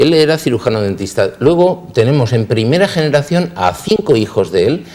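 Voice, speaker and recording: A moderate pace with very wide pitch swings. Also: man. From Spain, Elche (Valencian Community). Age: 60s. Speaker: dentist. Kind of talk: interview. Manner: halting, with repetitions.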